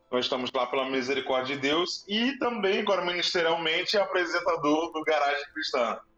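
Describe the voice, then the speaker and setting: With hardly any pauses, a man with a high pitch talks at a moderate pace, his intonation lively and his loudness very even, against noticeable background noise. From Rio de Janeiro, Brazil. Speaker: TV show presenter and church counselor. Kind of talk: interview. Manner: animated.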